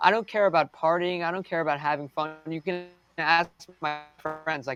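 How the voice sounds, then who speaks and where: With music in the background, a man with an American accent speaks at a moderate pace in a fairly high pitch and fairly even intonation, the sound dry and close with no echo. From United States. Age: young. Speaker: race car driver. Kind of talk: interview.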